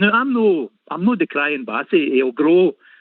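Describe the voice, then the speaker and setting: Speaking with a Lanarkshire accent, a man lets his pitch swing very widely. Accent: Scottish (Lanarkshire). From Scotland, Motherwell. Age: 60s. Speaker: caller, football fan. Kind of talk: call-in chat.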